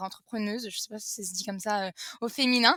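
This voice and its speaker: Recorded very cleanly against a silent background, a woman with a fairly high pitch and a bright, sharp tone speaks at a moderate pace with ordinary pitch variation, the sound dry and close with no echo. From France. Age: 20s. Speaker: entrepreneur. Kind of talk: interview. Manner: halting, many fillers.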